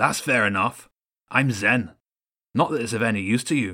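A man's growling, put-on character voice at medium pitch and moderate pace, in a very clean recording with a silent background. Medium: read story. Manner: casual, conversational.

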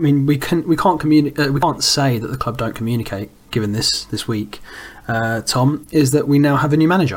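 A man with an ordinary speaking voice, fairly high pitch, fairly quick pace and ordinary pitch variation. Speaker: podcast host. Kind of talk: casual football podcast chat.

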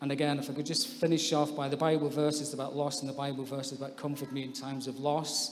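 A man speaks in a flat monotone at a fairly quick pace, with audible echo from the room. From England (born in Scotland). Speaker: baptism candidate, social worker. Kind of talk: testimony.

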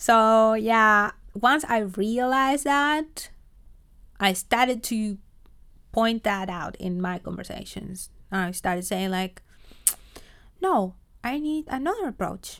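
A woman with a Spanish accent speaks very slowly at a fairly high pitch, with lively intonation. Her long pauses come often. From Argentina. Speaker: project manager. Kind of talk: interview. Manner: hesitant, many fillers.

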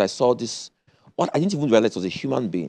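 With vocal fry, a man talks in a voice whose pitch swings very widely. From Nigeria (Kano, then Lagos). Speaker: presidential candidate. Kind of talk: political interview.

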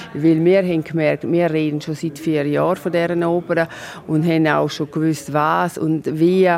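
Against noticeable background noise, a woman speaks at a moderate pace in a very deep, low voice with monotone, flat intonation. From Switzerland, Graubünden. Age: 50s. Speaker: orchestra board president and lawyer. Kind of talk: interview. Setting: outdoors in castle courtyard.

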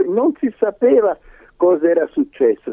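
Male voice with a dark, mellow tone and very wide pitch swings at a fairly slow pace, in a dry, close sound with no echo. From Italy, Livorno (Tuscany). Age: 80s+. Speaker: Holocaust survivor. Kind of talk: testimony.

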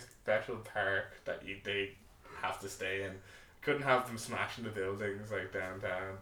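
A man with an Irish accent speaks at a moderate pace and medium pitch, with audible room echo and noticeable background noise. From Ireland. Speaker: podcast co-host. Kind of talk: casual chat.

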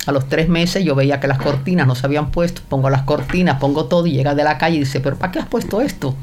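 At a fairly quick pace with ordinary pitch variation, the speech carries audible room echo and noticeable background noise. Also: woman. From Cuba, Havana. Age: 80s+. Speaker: host's mother. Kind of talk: casual chat.

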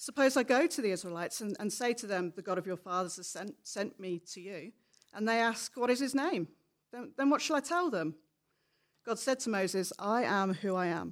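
On a very clean recording with a silent background, a woman with an ordinary speaking voice talks at a fairly quick pace and medium pitch with lively intonation. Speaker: scripture reader. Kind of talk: reading aloud. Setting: church.

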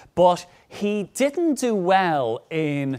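A man's lively intonation is heard on a very clean recording with a silent background. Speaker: historian. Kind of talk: panel discussion. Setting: stage with audience.

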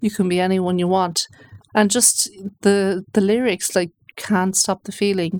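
In a western Irish accent, a woman speaks at a fairly slow pace with monotone, flat intonation, the sound dry and close with no echo. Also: medium pitch for a woman. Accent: Irish (west of Ireland). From Ireland, Galway. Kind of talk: personal testimony interview. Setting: radio studio.

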